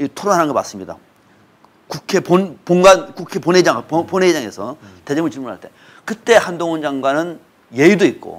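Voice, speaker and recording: Lively intonation from a man with a high pitch. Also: moderate pace. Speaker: political commentator. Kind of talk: political talk show discussion. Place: studio. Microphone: lapel.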